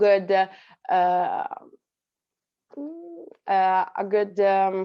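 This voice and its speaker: This woman speaks in an Italian accent at a medium pitch. Her intonation is monotone and flat. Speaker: actress. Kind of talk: panel Q&A answer. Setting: festival stage Q&A. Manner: halting, many fillers.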